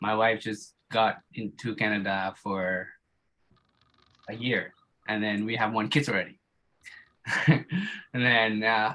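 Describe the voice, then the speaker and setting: A man with a non-native accent, medium-pitched, bright and sharp in tone, at a fairly slow pace with fairly even intonation. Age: 30s. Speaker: warehouse lead hand, men's group participant. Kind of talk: casual self-introduction in group video chat. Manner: halting, repeats words.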